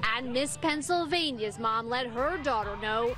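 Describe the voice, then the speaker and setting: A woman speaks at a fairly slow pace with a high pitch. Her intonation is lively, with music playing in the background. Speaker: TV news reporter. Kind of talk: live TV news field report. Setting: outdoors.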